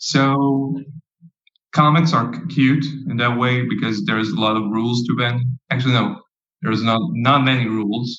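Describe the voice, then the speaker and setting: This man talks at a moderate pace in a strong non-native accent, his medium pitch showing ordinary variation. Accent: thick non-native English. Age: 20s. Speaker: comic artist and stand-up comedian. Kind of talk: casual interview chat.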